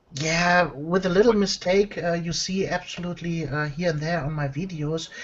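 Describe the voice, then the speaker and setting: With a non-native accent, a woman speaks at a moderate pace and fairly low pitch, her intonation fairly even over noticeable background noise. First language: not English. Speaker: miniature painter and tutorial maker. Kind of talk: casual interview chat. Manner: hesitant, many fillers.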